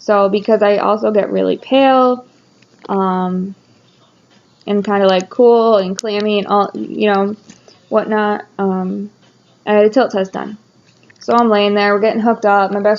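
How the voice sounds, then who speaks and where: Speaking at a fairly quick pace, a woman uses a medium pitch. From rural area. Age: 20s. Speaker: nurse. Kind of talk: personal vlog. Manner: casual, filler-heavy.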